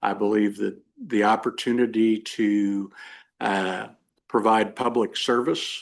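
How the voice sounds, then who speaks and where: A man speaks with a Midwestern American accent at a medium pitch. His intonation is fairly even, and the background is quiet. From western Kansas (Hays). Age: 60s. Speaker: lawyer, judicial candidate. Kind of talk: job interview. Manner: halting, many fillers.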